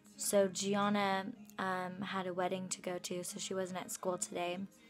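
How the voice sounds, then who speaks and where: A woman speaks at a very slow pace in a monotone, flat delivery, with faint music playing in the background. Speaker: student vlogger. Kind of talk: casual vlog chat. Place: home room. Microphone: phone near.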